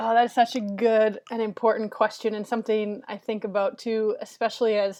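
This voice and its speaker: In an American accent, a woman with a plain, everyday voice and a fairly high pitch speaks at a moderate pace against a quiet background. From Minnesota. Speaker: campus minister. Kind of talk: interview.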